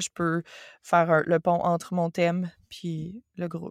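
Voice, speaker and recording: This woman speaks in a Quebec accent at a fairly low pitch. The sound is dry and close with no echo, and the recording is very clean with a silent background. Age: 30s. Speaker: yoga teacher and forestry engineer. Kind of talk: casual interview conversation.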